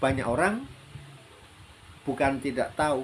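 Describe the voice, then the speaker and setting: A man speaks at a medium pitch. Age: 60s. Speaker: health practitioner sharing life advice. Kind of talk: solo talk / monologue. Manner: hesitant, many fillers.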